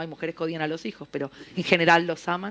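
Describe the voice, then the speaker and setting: In an Argentine accent, a woman speaks with a fairly low pitch on a very clean recording with a silent background. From Argentina, Buenos Aires. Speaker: novelist. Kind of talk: panel discussion. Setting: literary festival panel in a library.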